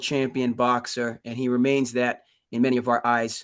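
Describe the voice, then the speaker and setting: With an American accent, a man speaks fairly slowly at a medium pitch in an unremarkable speaking voice. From Cape Cod, Massachusetts. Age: 30s. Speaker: community forum organizer. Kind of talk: moderated public forum.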